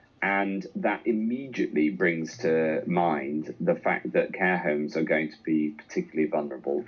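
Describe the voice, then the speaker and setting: A man speaks at a moderate pace in a very deep, low voice with lively intonation and hardly any pauses. Background noise is noticeable. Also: big swings in loudness. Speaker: government health minister. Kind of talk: radio interview answer.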